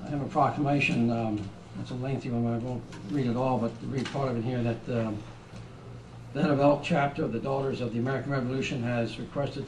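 Over noticeable background noise, a man talks at a fairly quick pace in a monotone, flat delivery. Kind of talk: formal meeting business. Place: meeting room. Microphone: podium.

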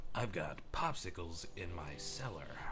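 A man puts on a character voice, very deep and low in pitch, gravelly and raspy. He talks at a moderate pace over loud background noise. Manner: growling.

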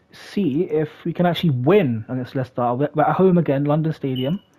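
Here a man speaks in a plain, everyday voice. His pitch is fairly high, with ordinary pitch variation. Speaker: gaming YouTuber. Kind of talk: casual gaming commentary, live football commentary when a goal goes in. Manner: excitable, shouting repeated goal calls; casual, rambling, filler words.

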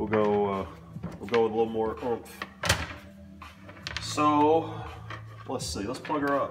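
Over faint background music, a man with a fairly low pitch speaks slowly, with lively intonation and long, frequent pauses.

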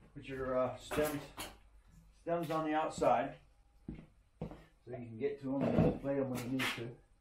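The words arrive at a moderate speed while noticeable background noise carries on. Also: man. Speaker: DIY reviewer. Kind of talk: tutorial. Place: garage. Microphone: camera far.

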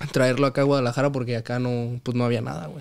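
A plain, everyday voice at a fairly quick pace, fairly even in intonation, over a quiet background. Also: man. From Mexico City, Santa Fe; Mexico City. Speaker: professional footballer; podcast guest. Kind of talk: casual chat. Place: home room. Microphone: studio mic.

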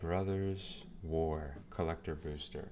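Over noticeable background noise, a soft-spoken man talks in a calm tone with a very deep, low pitch and fairly even intonation. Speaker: card seller. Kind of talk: ASMR card opening talk.

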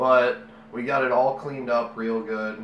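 Light background noise and audible room echo around a male voice. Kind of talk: tutorial. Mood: relaxed, casual. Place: home room.

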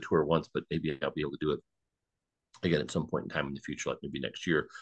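Over a quiet background, a man with an American accent talks at a very fast pace with vocal fry. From Detroit, Michigan. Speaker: history program host. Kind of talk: online history presentation. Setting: Zoom live stream.

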